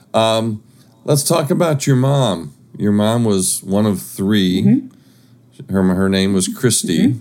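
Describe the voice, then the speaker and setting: Using an ordinary speaking voice, a man with fairly low pitch talks at a fairly slow pace with very even loudness and lively intonation. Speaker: podcast host. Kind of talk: interview, conversational.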